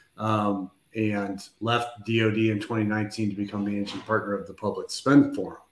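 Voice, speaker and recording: Amid light background noise and audible room echo, a man speaks in a fairly low pitch with monotone, flat intonation. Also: moderate pace. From US, Denver area; Colorado. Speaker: defense acquisition consultant; guest. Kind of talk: panel discussion.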